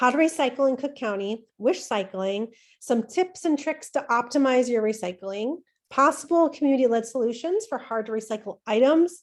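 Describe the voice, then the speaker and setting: A woman's high-pitched voice carries an animated tone and lively intonation. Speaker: community educator, former nurse. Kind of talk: presentation. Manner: fast.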